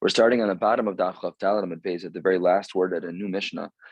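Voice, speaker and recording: A man speaks at a very fast pace in a very deep, low voice with monotone, flat intonation. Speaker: rabbi teaching Talmud. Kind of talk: lecture. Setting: at home.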